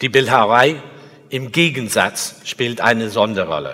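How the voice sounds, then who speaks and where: Very slow speech in an English accent carries a bright, sharp tone with vocal fry. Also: man. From England. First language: English (speaking German). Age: 60s. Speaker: sculptor. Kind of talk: lecture. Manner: halting.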